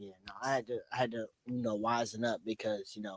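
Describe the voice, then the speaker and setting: With an American accent, a man speaks in a fairly low pitch and monotone, flat intonation. The recording is very clean, with a silent background. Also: dry, close sound with no echo. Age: 40s. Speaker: DJ. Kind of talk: podcast interview.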